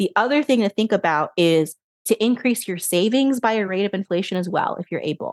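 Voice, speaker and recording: In a plain, everyday voice of medium pitch, a woman talks at a fairly quick pace, the sound dry and close with no echo against a quiet background. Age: 30s. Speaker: financial advisor and money coach. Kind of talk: interview.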